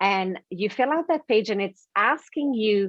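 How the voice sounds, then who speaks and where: A woman with a French Canadian accent speaks slowly-ish at a fairly high pitch, in a dry, close sound with no echo. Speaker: author and life coach. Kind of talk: interview.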